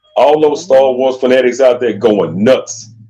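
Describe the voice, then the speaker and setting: Music plays behind a man who talks at a fairly slow pace. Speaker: aspiring voice actor. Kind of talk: casual chat. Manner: animated.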